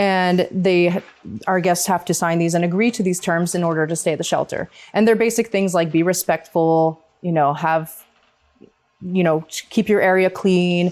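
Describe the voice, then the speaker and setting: Fairly low in pitch, a woman's voice holds a fairly even intonation. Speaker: homeless shelter staff member. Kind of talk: community forum presentation. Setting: library meeting room with audience. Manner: fast.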